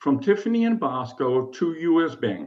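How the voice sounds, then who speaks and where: With a German accent, a man speaks at a moderate pace, his pitch swinging very widely, and the room echo is audible. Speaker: self-represented appellant. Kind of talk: court oral argument. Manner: formal.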